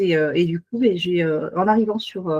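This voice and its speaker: Her pace is fairly quick. This woman speaks with lively intonation. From Paris region, France. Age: 40s. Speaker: beautician and naturopath. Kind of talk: self-presentation in online meeting. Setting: video call. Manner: hesitant, many fillers.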